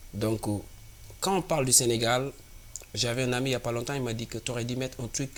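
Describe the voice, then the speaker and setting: A man speaks in an African accent with fairly even intonation. His pace is fairly quick. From Senegal. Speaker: singer-songwriter. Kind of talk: interview.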